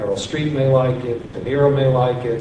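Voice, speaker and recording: Noticeable background noise sits behind a man with a medium pitch. He speaks at a fairly quick pace with fairly even intonation. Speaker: literary agent. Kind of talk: panel discussion. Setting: stage with audience.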